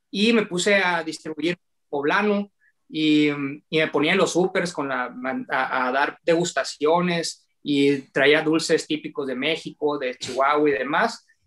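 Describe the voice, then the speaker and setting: Here a man has a plain, everyday voice with a fairly high pitch. He talks at a fairly slow pace with ordinary pitch variation. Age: 30s. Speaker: young entrepreneur. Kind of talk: interview. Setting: video call.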